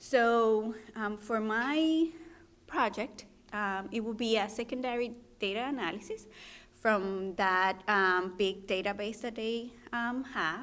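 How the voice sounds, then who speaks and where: Speaking very slowly, a woman shows ordinary pitch variation. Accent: Spanish. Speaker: physician trainee presenting research. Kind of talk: research presentation. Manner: halting, many fillers.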